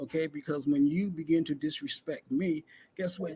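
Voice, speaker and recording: Recorded dry and close with no echo, a man with a fairly high pitch talks at a moderate pace, somewhat breathy, with ordinary pitch variation. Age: 70s. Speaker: retired security director. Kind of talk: podcast interview. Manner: halting with many fillers.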